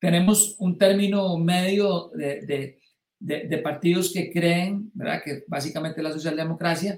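A man at a high pitch, at a very slow pace. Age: 60s. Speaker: political commentator. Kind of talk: live-streamed political discussion. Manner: halting.

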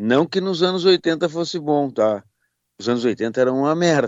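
A man's fairly high, fairly slow voice with lively intonation. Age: 50s. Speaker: rock musician and producer. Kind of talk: interview. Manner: halting.

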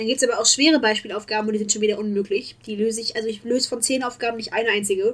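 Talking at a very fast pace with hardly any pauses, a woman sounds animated, her pitch fairly high. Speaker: podcast co-host, student. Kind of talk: casual chat.

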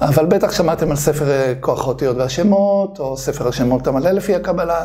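A man talks at a moderate pace with ordinary pitch variation, noticeable background noise running behind him. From Israel, Bnei Brak. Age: 50s. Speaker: kabbalah author and teacher. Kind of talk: casual chat.

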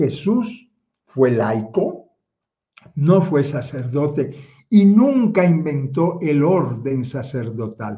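Amid audible room echo, a man speaks very slowly in a fairly high, somewhat breathy voice with lively intonation. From Cuba (Havana, Marianao). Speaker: theologian and online speaker. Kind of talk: livestream talk with chat greetings. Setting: livestream, chat only.

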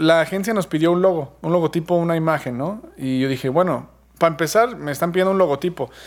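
With a Mexican accent, a man speaks at a moderate pace with ordinary pitch variation. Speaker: podcast host. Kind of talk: casual chat. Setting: remote recording.

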